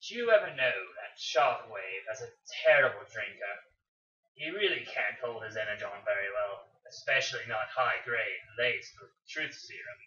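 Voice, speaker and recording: Putting on a character voice, a man speaks at a moderate pace in a smug tone. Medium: read story. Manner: smug, malicious.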